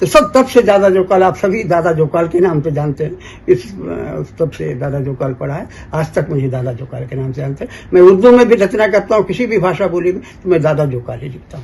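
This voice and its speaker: Pitched high, a man speaks at a moderate pace with lively intonation. His loudness swings widely. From Bastar, Chhattisgarh (family from Aligarh). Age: 70s. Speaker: folk poet and lyricist. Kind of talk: interview, storytelling. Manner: halting, with repetitions.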